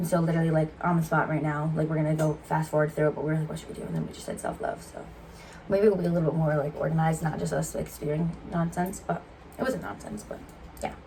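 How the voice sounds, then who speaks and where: Speech comes at a very fast pace with fairly even intonation and big swings in loudness. Noticeable background noise runs underneath. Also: woman, very deep, low pitch for a woman. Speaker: YouTuber, twin co-host. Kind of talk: casual chat.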